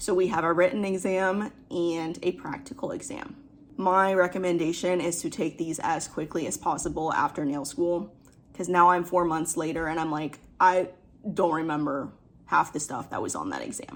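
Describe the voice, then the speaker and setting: A woman with an unremarkable speaking voice talks at a fairly low pitch and a moderate pace. Her intonation is lively, and the recording is very clean with a silent background. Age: 20s. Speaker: nail technician. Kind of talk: casual vlog advice talk.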